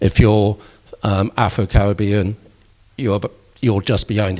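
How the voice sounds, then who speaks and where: Speaking at a moderate pace, a man with a Bristol accent has a fairly low, somewhat breathy voice. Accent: Bristol accent, Bristol L. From Bristol, England. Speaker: local politician. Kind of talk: election hustings debate.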